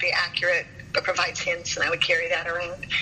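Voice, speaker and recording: Woman at a fairly quick pace over noticeable background noise. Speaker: professional organizer. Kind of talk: interview.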